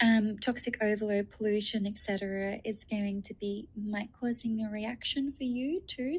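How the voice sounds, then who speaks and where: A woman speaks in a somewhat breathy voice at a fairly high pitch, with fairly even intonation. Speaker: nutritionist and naturopath. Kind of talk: webinar presentation. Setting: video call. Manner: hesitant with many fillers.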